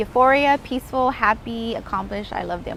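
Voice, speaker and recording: A woman with an American accent speaks at a fairly quick pace, her pitch fairly high with ordinary variation. There is noticeable background noise. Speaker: real estate investor. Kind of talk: interview. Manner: fast; animated.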